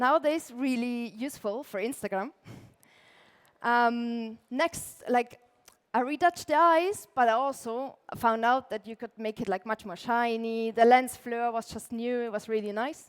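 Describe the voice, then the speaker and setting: Delivered at a fairly slow pace in an Austrian accent, the speech has ordinary pitch variation. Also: woman, high pitch for a woman, big swings in loudness. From Austria, Tyrol. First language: German. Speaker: illustrator and lettering artist, conference speaker. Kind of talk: conference talk. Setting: stage with audience. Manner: casual, frequent filler words.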